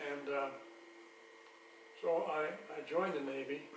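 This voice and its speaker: A man with an American accent speaks with fairly even intonation. There is audible room echo and noticeable background noise. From US Midwest, northwest Missouri. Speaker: Korean War-era Navy veteran. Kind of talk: family interview. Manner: halting, many hesitations.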